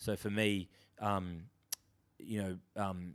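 In an Australian accent, a man speaks with a very deep, low pitch and monotone, flat intonation. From Australia, Sydney. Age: 30s. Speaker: drummer. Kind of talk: casual chat.

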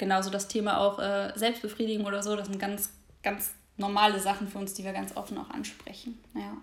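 A woman talks fairly quickly in a flat, monotone intonation. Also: medium pitch for a woman. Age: 20s. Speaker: podcast co-host. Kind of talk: casual chat. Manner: hesitant, many filler sounds.

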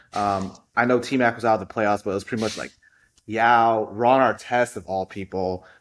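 Against a silent background on a very clean recording, a man has an unremarkable speaking voice with a fairly low pitch. He keeps a moderate pace and fairly even intonation. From Houston, Texas. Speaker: basketball stats enthusiast. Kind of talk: casual chat.

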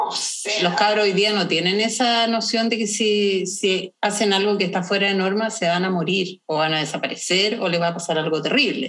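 The speech runs at a moderate pace with hardly any pauses and very even loudness. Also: woman, medium pitch for a woman. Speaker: podcast co-host. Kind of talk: casual chat.

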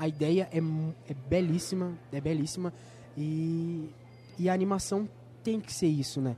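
Speaking at a high pitch, a man uses ordinary pitch variation. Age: 20s. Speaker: student podcast host. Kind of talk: interview. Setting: on location at a film festival.

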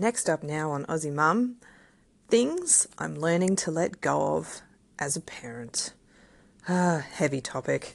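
Against a quiet background, a woman with an Australian accent talks at a fairly slow pace with long, frequent pauses. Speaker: podcast host, parent. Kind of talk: solo podcast monologue. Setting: home recording. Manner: casual, chatty.

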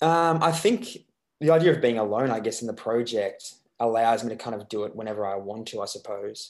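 Against a quiet background, a man with an Australian accent talks at a fairly quick pace with big swings in loudness. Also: medium pitch for a man, ordinary pitch variation. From Australia, Melbourne. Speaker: musician. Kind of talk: interview. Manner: halting.

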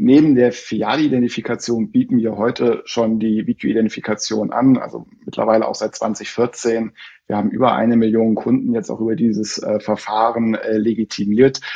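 At a moderate pace and medium pitch, a man speaks in a monotone, flat way with hardly any pauses. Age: 40s. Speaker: bank identity specialist. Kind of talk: interview. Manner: hesitant, many fillers.

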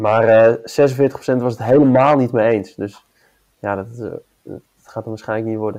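Pausing long and often, a man speaks at a fairly slow pace in a dark, mellow tone with monotone, flat intonation. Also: medium pitch for a man, big swings in loudness. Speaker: podcast host. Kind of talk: casual chat.

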